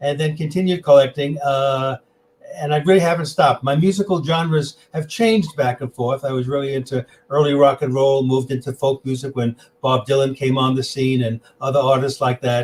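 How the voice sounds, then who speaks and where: A somewhat breathy man with a New York accent speaks at a fairly quick pace and a fairly high pitch with ordinary pitch variation. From New York City. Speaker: tech presenter and music collector. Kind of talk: interview.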